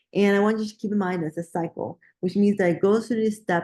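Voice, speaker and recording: A woman mumbles at a medium pitch. The background is quiet. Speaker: biology instructor. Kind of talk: lecture. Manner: mumbling; halting, self-correcting.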